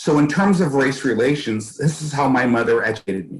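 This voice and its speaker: This man's somewhat breathy voice shows ordinary pitch variation. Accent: American. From US West Coast, East Oakland, California. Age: 60s. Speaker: school board candidate. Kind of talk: interview.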